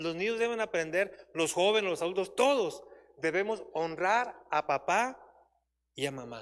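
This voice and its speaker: The man here speaks at a high pitch and a moderate pace. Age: 60s. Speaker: church Bible teacher. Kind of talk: sermon.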